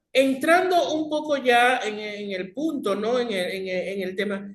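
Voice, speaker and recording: The man's intonation is lively. He talks very slowly. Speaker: radio host. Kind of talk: radio interview.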